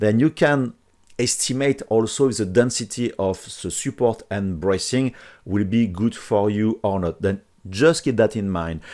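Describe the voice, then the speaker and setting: A man's dark, mellow voice with a French accent, at a fairly slow pace. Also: fairly low pitch for a man, ordinary pitch variation. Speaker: 3D printing software tutor. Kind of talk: tutorial. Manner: hesitant with fillers.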